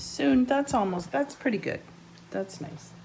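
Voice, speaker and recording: A woman's pitch swings very widely as noticeable background noise carries on behind her. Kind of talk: casual cooking instruction.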